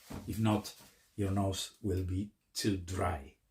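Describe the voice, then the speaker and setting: A man with a Spanish accent, fairly low-pitched and somewhat breathy, at a very slow pace. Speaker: YouTuber, hobbyist. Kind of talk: tutorial. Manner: halting.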